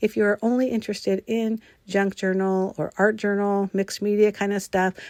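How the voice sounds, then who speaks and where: In a very clean recording with a silent background and a dry, close sound with no echo, a woman speaks at medium pitch and a moderate pace. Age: 60s. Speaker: craft video creator. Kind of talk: tutorial. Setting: home craft room. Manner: casual, with filler words; enthusiastic.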